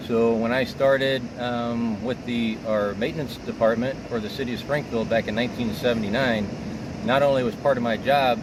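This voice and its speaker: Over noticeable background noise and audible room echo, a man with an American accent speaks at a moderate pace and medium pitch. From US Midwest (Illinois). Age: 60s. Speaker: arborist. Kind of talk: interview. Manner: halting, with many fillers.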